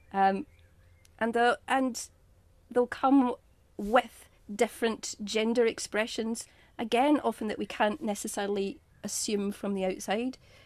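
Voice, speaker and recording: A woman with an English accent, fairly high and fairly even in pitch, at a fairly slow pace with long, frequent pauses. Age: 50s. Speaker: yoga teacher and healthcare chaplain. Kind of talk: podcast interview. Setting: video call.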